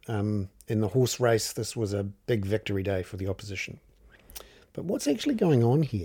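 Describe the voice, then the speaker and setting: Somewhat breathy and dark, mellow in tone, a man speaks at a medium pitch and a moderate pace with ordinary pitch variation. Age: 50s. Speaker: journalist and podcast host. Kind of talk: solo commentary podcast. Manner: casual with many filler words.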